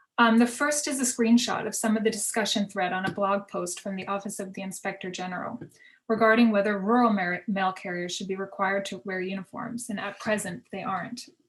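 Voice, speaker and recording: Speaking at a fairly quick pace and medium pitch, a woman sounds somewhat breathy, with ordinary pitch variation and big swings in loudness. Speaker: fashion history professor. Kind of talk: conference panel presentation. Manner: fast.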